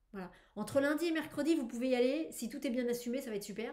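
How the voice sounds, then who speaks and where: The voice moves at a fairly quick pace with ordinary pitch variation. Audible room echo surrounds it. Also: woman. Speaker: tarot reader. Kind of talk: weekly tarot reading video. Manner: animated; hesitant with fillers.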